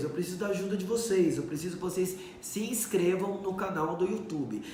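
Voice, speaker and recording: This high-pitched man talks at a fairly quick pace, with audible room echo and noticeable background noise behind him. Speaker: doctor. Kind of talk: live stream Q&A. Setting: Instagram live stream.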